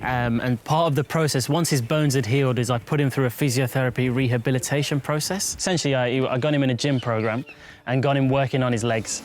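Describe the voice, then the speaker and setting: A man with a Birmingham accent talks at a very fast pace. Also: hardly any pauses, very even loudness. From West Midlands, England (Birmingham). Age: 20s. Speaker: wildlife vet. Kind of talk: documentary interview.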